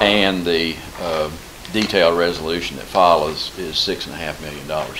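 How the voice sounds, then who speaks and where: Through noticeable background noise, a man with a very deep, low pitch talks at a fairly quick pace in monotone, flat intonation. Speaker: financial advisor presenting to council. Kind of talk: formal presentation. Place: meeting room.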